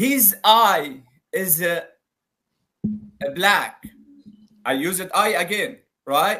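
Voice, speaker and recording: A raised, projected voice with an Arabic accent speaks at a very slow pace, with long, frequent pauses. The intonation is lively, and music plays in the background. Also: man, high pitch for a man. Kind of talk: live debate call-in.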